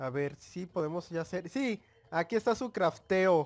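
A man talks at a fairly slow pace in a high pitch. His intonation is lively. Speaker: gaming youtuber. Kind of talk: gameplay commentary. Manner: animated.

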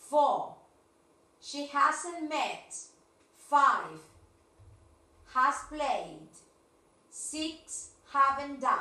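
With audible room echo, a woman with a high pitch and a bright, sharp tone talks at a very slow pace, with fairly even intonation and long, frequent pauses. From Argentina. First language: Spanish. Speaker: English teacher. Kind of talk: online class. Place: classroom. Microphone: camera far.

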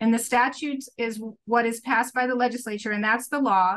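This woman speaks at a moderate pace with a high pitch and ordinary pitch variation. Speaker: remote podcast guest. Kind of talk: interview answer. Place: home room. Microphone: video call.

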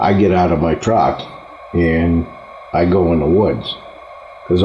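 In a New England accent, the speaker goes at a very slow pace, with light background noise and audible room echo. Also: man. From northern New England. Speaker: local partridge hunter. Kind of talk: interview answer. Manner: casual, hesitant. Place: home room.

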